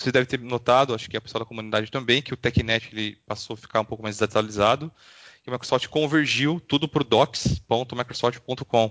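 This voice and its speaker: A man's ordinary speaking voice, medium in pitch, at a fairly quick pace. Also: fairly even intonation. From interior of São Paulo state, Brazil. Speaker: IT consultant and author. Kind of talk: interview.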